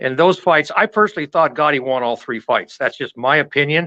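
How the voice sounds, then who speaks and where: A man at a fairly high pitch with a bright, sharp tone and a moderate pace, in a dry, close sound with no echo against a quiet background. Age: 70s. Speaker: boxing website writer. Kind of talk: casual chat.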